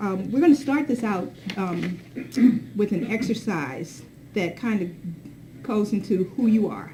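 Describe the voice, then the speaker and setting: Speaking at a fairly slow pace, a woman uses a medium-pitched, somewhat breathy voice with a dark, mellow tone and very wide pitch swings. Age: 60s. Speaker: diversity consultant and advocate. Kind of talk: workshop presentation.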